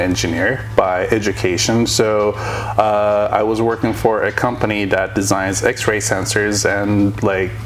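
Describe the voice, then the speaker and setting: A man speaks at a fairly slow pace in a fairly low, monotone voice with hardly any pauses, over noticeable background noise and audible room echo. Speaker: company CEO and engineer. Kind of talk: casual interview. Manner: loud.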